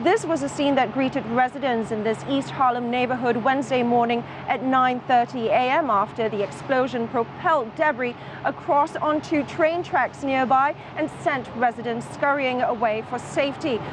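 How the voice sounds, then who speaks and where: Amid noticeable background noise, a woman speaks at a moderate pace with a high pitch. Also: ordinary pitch variation. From Singapore. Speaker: TV news correspondent. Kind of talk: TV news report.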